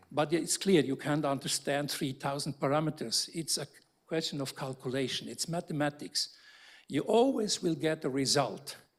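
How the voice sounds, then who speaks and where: In an ordinary speaking voice, a man talks at a moderate pace with fairly high pitch and ordinary pitch variation. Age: 60s. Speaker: architecture professor. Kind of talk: panel discussion. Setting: lecture theatre with audience.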